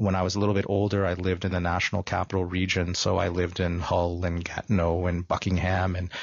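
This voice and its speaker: A man with a very deep, low pitch talks at a very fast pace with hardly any pauses. His intonation is monotone and flat, and his loudness stays very even. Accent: Canadian. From Canada, mostly Toronto. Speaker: filmmaker. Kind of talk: radio interview. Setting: radio studio.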